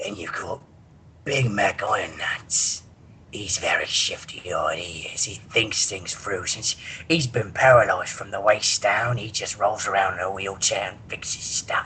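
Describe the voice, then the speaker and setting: Whispering in a put-on character voice, a man speaks at a moderate pace. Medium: solo performance.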